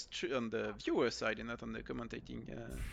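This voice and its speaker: Against a quiet background, a man with a French accent speaks in a bright, sharp tone. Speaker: esports caster. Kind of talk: live commentary. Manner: halting.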